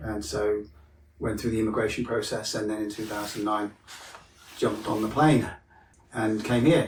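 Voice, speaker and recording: This man speaks with a British accent at a moderate pace. His pitch is fairly low and his voice is somewhat breathy. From Wales. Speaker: mental health counsellor. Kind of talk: podcast interview. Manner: casual, hesitant with fillers.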